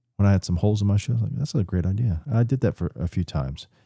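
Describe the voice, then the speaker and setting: A man with an American accent speaks at a very fast pace, fairly low in pitch, with very wide pitch swings. His tone is dark, mellow and somewhat breathy, in a very clean recording with a silent background. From Florida, Polk County (Lakeland). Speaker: business founder. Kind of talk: casual interview chat. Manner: halting, many fillers.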